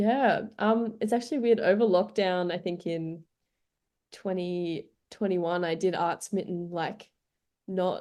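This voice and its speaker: A woman's dark, mellow voice in an Australian accent at a fairly slow pace. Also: medium pitch for a woman, ordinary pitch variation, quiet background. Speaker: community radio music director. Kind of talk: radio interview.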